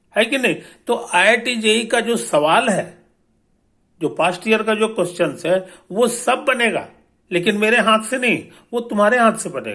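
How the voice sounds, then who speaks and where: High-pitched, raised and projected, a man's voice with a bright, sharp tone. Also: ordinary pitch variation. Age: 70s. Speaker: physics teacher and author. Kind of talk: promotional talk to students. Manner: casual, repetitive filler (है कि नहीं); hesitant, with fillers and restarts.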